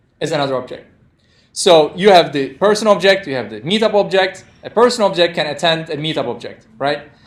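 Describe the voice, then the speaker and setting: A man with a non-native accent speaks at a fairly quick pace and a high pitch. His intonation is lively, and his loudness swings widely. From Turkey. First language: non-native English speaker. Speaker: programming instructor. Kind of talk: interactive lecture. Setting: classroom with live audience, streamed.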